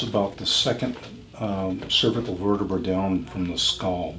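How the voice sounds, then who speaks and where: Noticeable background noise and audible room echo accompany a man speaking at a moderate pace with a fairly low pitch. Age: 70s. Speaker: chiropractor. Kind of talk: explaining a treatment while working. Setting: chiropractic office, filmed.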